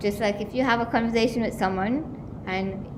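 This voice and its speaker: A woman's fairly even intonation amid noticeable background noise and audible room echo. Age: 20s. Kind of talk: awareness talk to a live audience. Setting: college venue with live audience, livestreamed. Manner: conversational.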